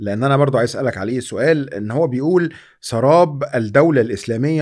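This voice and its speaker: In a normal speaking voice, a man talks at a fairly quick pace with a fairly high pitch, on a very clean recording with a silent background. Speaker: podcast host. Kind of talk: interview.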